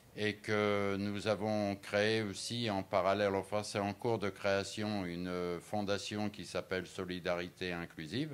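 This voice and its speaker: A man talks very slowly yet with hardly any pauses, at a fairly low pitch and with fairly even intonation. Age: 70s. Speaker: businessman. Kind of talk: interview. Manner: hesitant, many fillers.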